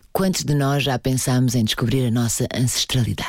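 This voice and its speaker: With a very deep, low pitch, a woman talks at a moderate pace. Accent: European Portuguese. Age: 40s. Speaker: podcast host and narrator. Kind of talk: scripted narration.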